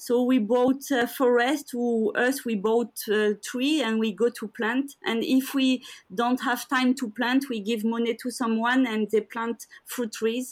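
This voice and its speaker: A woman with a French accent speaks at a fairly slow pace in a high voice, with fairly even intonation and hardly any pauses. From France. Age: 40s. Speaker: professional endurance athlete. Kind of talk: interview.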